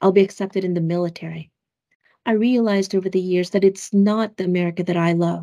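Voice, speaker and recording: Over a quiet background, a woman with a dark, mellow tone talks at a fairly quick pace, her intonation fairly even. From Philippines, raised in US Midwest. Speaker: government official, Air Force veteran. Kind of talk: scripted video remarks. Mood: earnest, heartfelt. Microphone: webcam.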